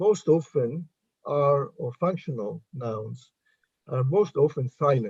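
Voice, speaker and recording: Somewhat breathy and with an Italian accent, this voice moves at a very slow pace, with a dark, mellow tone and lively intonation. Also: man. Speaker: linguistics professor. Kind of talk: academic Q&A discussion.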